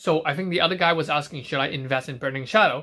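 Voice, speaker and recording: A man's bright, sharp, fairly high voice at a fairly quick pace with ordinary pitch variation, in a very clean recording with a silent background. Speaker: trading card collector and streamer. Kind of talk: casual live stream chat. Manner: fast.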